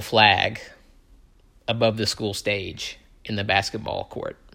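On a very clean recording with a silent background, a man with an American accent speaks at a fairly slow pace. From US South, Tupelo, Mississippi. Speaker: podcaster. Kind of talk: personal monologue. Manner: rambling, many fillers.

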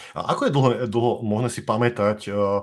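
In a very clean recording with a silent background, a man speaks at a moderate pace, fairly low in pitch with fairly even intonation. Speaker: podcast host. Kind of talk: live-streamed interview.

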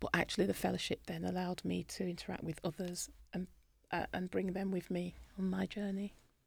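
In a British accent, a woman talks at a fairly quick pace with monotone, flat intonation. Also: medium pitch for a woman. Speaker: dentist. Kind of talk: interview.

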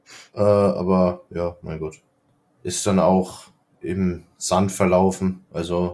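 On a very clean recording with a silent background, a man with a very deep, low pitch speaks with ordinary pitch variation. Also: long, frequent pauses. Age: 20s. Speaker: podcast co-host. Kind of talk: casual chat.

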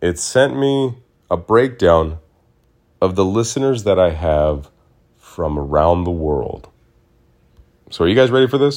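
A man with a very deep, low pitch speaks at a fairly slow pace in an animated tone, with very wide pitch swings and long, frequent pauses. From Arizona, US (Mesa). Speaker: podcast host. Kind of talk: casual solo monologue. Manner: slurring words at times.

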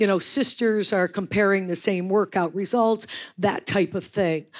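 In a normal speaking voice with an American accent, a woman talks at a moderate pace and medium pitch with ordinary pitch variation, on a very clean recording with a silent background. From US Northeast, western New York. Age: 60s. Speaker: fitness franchise founder. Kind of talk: panel interview on stage. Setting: stage with audience.

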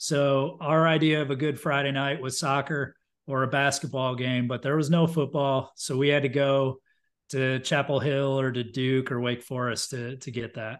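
A man speaks in an American accent at a fairly high pitch and moderate pace, with monotone, flat intonation. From upstate New York. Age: 40s. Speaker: marketing executive. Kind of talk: casual chat.

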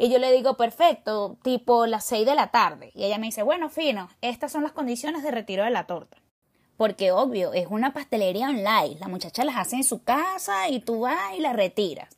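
With a Caracas accent, a woman talks at a fairly quick pace in an animated tone with lively intonation. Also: fairly high pitch for a woman. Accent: Venezuelan Spanish (Caracas). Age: 30s. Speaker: podcaster. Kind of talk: monologue storytelling.

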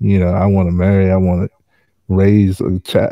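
An ordinary speaking voice at a fairly slow pace against a quiet background. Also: man. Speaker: podcast co-host. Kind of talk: casual chat.

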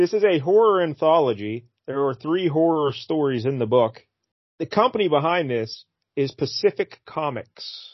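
A man uses an ordinary speaking voice at a fairly high pitch. He talks at a moderate pace with lively intonation. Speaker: podcast host. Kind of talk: casual comic-book podcast chat. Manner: joking, playful.

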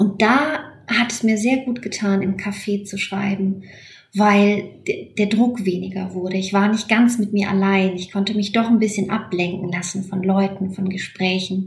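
Over noticeable background noise, a woman of medium pitch talks at a fairly slow pace with fairly even intonation. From Romania (Transylvania and Banat). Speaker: novelist. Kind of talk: interview about her novel. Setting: remote call from her desk at home. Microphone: remote line.

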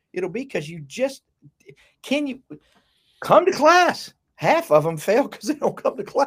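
With an Alabama accent, a man speaks at an extremely high pitch and a moderate pace. His pitch swings very widely, and he takes long, frequent pauses. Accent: southern US (Alabama). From US South (south Alabama). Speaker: university professor. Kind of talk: casual conversation.

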